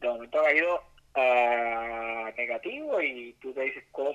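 In a plain, everyday voice, a man talks at a fairly high pitch with fairly even intonation. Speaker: radio correspondent. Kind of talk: phone report. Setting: phone call.

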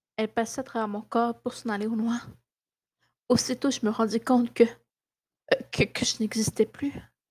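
A woman with a fairly high pitch speaks at a moderate pace in a monotone, flat way, leaving long, frequent pauses. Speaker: podcast host reading horror story. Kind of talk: ghost story telling, scripted creepypasta narration read aloud. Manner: hushed, suspenseful, dramatic pacing with pauses.

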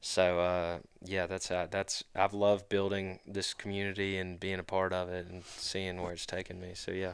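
With a Southern US accent, a man speaks at a moderate pace with hardly any pauses, his very deep, low pitch held in a monotone, flat intonation, all in a very clean recording with a silent background. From Mississippi (Brandon, Jackson area). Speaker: student conservation club leader. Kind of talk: casual chat.

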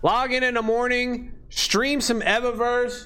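A raised, projected voice with an animated tone at a fairly slow pace, over noticeable background noise. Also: man. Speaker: gaming streamer. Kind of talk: casual livestream chat while playing a game. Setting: livestream, screen-share gameplay. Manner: high-energy, animated, loud; casual, slangy, profane.

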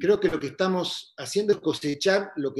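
Pitch moves in an ordinary way. The pace stays moderate. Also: man. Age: 50s. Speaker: astrologer. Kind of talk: casual interview conversation. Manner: halting, many repetitions.

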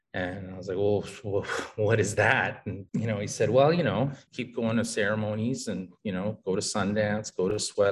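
A man talks at a moderate pace with a fairly low pitch. His intonation stays fairly even. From Winnipeg, Manitoba, Canada (west end). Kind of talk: casual interview chat.

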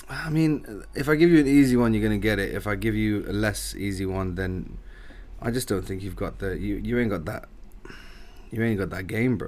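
A man with a plain, everyday voice and a fairly low pitch speaks at a fairly quick pace with ordinary pitch variation. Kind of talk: casual chat.

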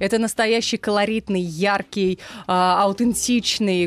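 An unremarkable speaking voice at a fairly slow pace, with ordinary pitch variation, in a very clean recording with a silent background. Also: woman. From Russia, Saransk. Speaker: former radio news presenter. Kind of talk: casual chat. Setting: studio.

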